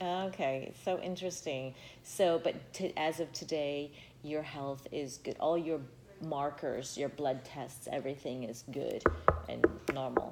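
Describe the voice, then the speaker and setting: This woman has a very deep, low pitch and talks at a fairly slow pace. Music plays in the background. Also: fairly even intonation. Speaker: podcast host. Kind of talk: interview questions.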